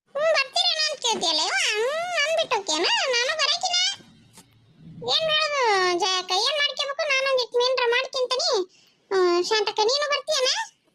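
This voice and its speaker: A woman uses a squeaky, cartoonish character voice at an extremely high pitch, with very wide pitch swings. Her loudness stays very even and her pace is moderate. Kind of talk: rustic comic cartoon acting. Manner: chatty, repeats "yavva".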